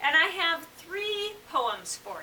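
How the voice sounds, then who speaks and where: With a bright, sharp tone, a woman talks in a raised, projected voice whose pitch swings very widely. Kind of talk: casual talk to camera.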